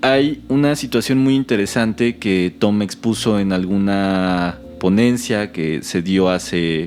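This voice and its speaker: Speaking at a very slow pace with hardly any pauses, a man with a Mexican accent uses a fairly low pitch and lively intonation, with music in the background. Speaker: podcast host. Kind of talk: casual conversation.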